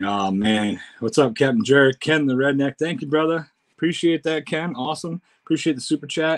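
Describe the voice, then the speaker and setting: A man with an American accent at a fairly quick pace, fairly high in pitch with lively intonation, an unremarkable speaking voice, against a quiet background. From United States. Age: 40s. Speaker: YouTuber doing food tasting. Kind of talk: casual livestream chat. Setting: home livestream. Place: home room. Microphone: webcam.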